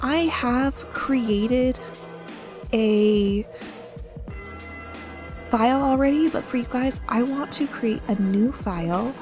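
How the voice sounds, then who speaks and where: A soft-spoken woman talks very slowly in a high voice, leaving long, frequent pauses. Her pitch varies in an ordinary way, with music in the background. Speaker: gaming YouTuber. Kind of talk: soft-spoken gaming commentary for sleep.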